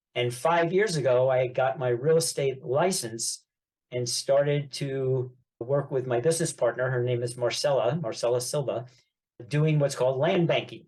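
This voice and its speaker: With a New York accent, a man at medium pitch speaks at a moderate pace in a somewhat breathy voice with ordinary pitch variation. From New York, Long Island (Great Neck). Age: 70s. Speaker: real estate investor and business coach. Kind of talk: podcast interview. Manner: talkative.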